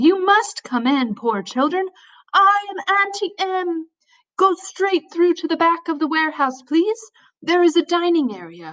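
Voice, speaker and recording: A woman puts on a squeaky character voice at an extremely high pitch. She moves at a moderate pace with lively intonation. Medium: read story. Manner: sweet, coaxing, formal.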